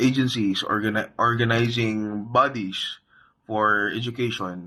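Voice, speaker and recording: Over a quiet background, a man with a Visayan Filipino accent talks fairly slowly at a medium pitch, his tone bright and sharp. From Philippines, Visayas/Mindanao (Bisaya-speaking). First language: Bisaya. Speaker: student or teacher presenter. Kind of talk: class presentation. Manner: halting, many fillers.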